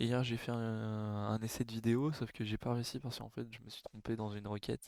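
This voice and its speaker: A medium-pitched man speaks in a monotone, flat intonation. The recording is very clean, with a silent background and a dry, close sound with no echo. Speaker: programming tutorial creator. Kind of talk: tutorial. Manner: halting, many fillers.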